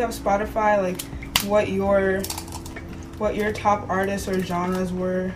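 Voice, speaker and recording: A woman talks at a fairly slow pace with a medium pitch. Noticeable background noise runs under her voice. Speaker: podcast host. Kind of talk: casual chat. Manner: casual, rambling.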